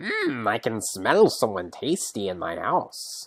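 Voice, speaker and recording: In a put-on character voice with a low pitch, the speaker talks at a fairly slow pace. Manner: gleeful, menacing.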